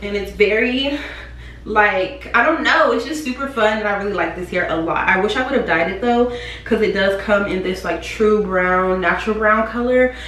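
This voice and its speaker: Against light background noise and audible room echo, a woman talks at a moderate pace with ordinary pitch variation. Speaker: beauty vlogger. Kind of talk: casual vlog chat, product review. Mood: upbeat, enthusiastic. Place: home room. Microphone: camera far.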